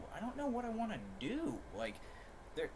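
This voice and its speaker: Noticeable background noise runs under this recording. A man speaks with audible room echo around him. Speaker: streamer. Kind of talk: casual livestream chat. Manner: fast; halting.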